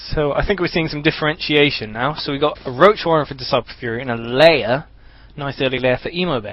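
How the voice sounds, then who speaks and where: A man at a very fast pace, his pitch fairly high. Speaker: gamer and co-caster. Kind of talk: live game commentary. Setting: live stream.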